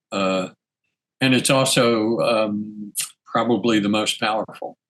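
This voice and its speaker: In a monotone, flat way, a man with an American accent speaks at a fairly low pitch. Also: fairly slow pace. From Texas. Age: 80s+. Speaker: spiritual teacher, energy healer. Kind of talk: interview conversation. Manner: halting, many fillers.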